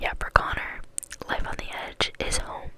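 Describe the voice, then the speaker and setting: With noticeable background noise, a woman whispers at a very slow pace. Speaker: ASMR creator. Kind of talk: audiobook reading. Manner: soft-spoken, slow, soothing.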